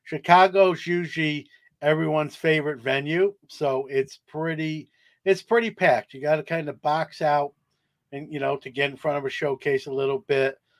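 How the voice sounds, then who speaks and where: In an unremarkable speaking voice, a man with a fairly high pitch talks at a moderate pace with fairly even intonation, recorded very cleanly against a silent background with a dry, close sound and no echo. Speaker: sports card hobby expert and podcast host. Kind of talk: interview conversation.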